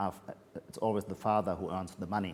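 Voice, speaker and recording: With a German accent, a man is talking. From Germany, Heidelberg. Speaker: literary critic and author. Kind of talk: Q&A at a reading event. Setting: hybrid event with audience. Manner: halting, many fillers.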